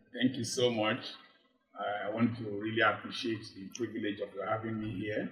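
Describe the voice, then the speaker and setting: A man speaks at a moderate pace in a medium pitch, his intonation flat and monotone. His loudness swings widely from moment to moment. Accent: Nigerian. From Nigeria, Delta (Urhobo). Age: 60s. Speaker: medical doctor and life coach. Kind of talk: interview with preaching style. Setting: studio.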